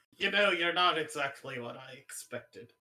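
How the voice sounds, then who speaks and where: A put-on character voice from a man, moderately paced and fairly high in pitch. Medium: game stream.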